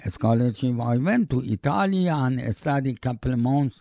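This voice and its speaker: Speaking in a Persian accent, a man has a medium pitch, a dark, mellow tone, and ordinary pitch variation. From Iran. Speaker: immigrant father. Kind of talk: oral history interview. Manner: halting.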